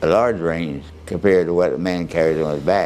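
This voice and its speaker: This man has a very deep, low-pitched voice. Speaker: war veteran. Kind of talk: interview answer.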